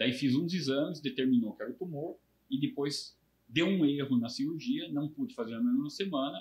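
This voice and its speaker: At a moderate pace, the voice is somewhat breathy, with very wide pitch swings. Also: man, fairly high pitch for a man. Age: 60s. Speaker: brain tumor survivor, retired IT worker. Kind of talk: interview testimony.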